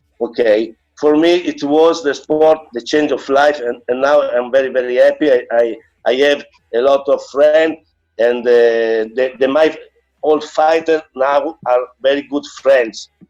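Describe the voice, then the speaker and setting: A man with an Italian accent speaks at a fairly slow pace in a fairly high pitch, his intonation fairly even. Music plays in the background. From Italy. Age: 50s. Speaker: martial arts master. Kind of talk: interview. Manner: halting.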